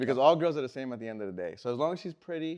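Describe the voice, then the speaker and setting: A man talks against a quiet background. His pitch varies in an ordinary way. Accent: New York. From New York City (Queens). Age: 30s. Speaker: interviewer. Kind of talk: casual chat.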